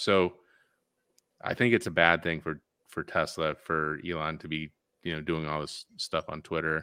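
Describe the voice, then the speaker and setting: On a very clean recording with a silent background, a man's very deep, low voice carries a bright, sharp tone and fairly even intonation. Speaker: podcast co-host. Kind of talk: casual news discussion.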